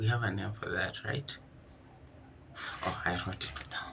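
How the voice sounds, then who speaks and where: A man talks at a fairly slow pace amid noticeable background noise, his voice carrying audible room echo. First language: not English. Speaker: vlogger job hunting. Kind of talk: casual vlog commentary. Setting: kitchen.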